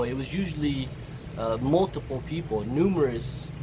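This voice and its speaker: With an American accent, a man speaks at a moderate pace and with lively intonation. Noticeable background noise and audible room echo surround his voice. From Southern California, US. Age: 30s. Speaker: vlogger. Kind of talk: casual monologue. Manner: halting, many fillers.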